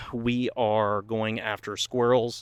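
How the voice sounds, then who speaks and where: A medium-pitched man's voice in a relaxed tone. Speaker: realtor and vlogger. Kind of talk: casual walking vlog. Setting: outdoors, walking a nature trail. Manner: relaxed, conversational.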